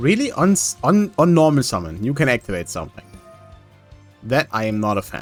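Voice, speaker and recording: A medium-pitched man at a fairly quick pace, with very wide pitch swings, big swings in loudness, long, frequent pauses and music in the background. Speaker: gaming commentator. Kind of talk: casual gameplay commentary.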